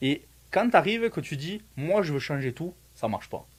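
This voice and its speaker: Somewhat breathy and marked by very wide pitch swings, the voice sits in a very clean recording with a silent background. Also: man. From France. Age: 30s. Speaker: student, immigrant, former soldier. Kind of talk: casual interview. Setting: Facebook live.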